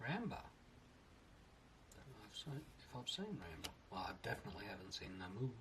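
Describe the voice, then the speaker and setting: A man with a medium-pitched voice talks at a fairly quick pace, his loudness swinging widely, his pitch ranging very widely, and long pauses coming often. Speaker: card collector. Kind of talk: casual card opening talk.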